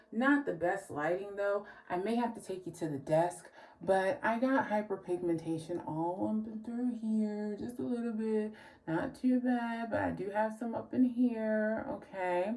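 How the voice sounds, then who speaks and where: A woman speaks fairly slowly with an American accent and lively intonation. There is noticeable background noise. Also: fairly high pitch for a woman. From New Jersey. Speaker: beauty vlogger. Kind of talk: casual vlog. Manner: animated.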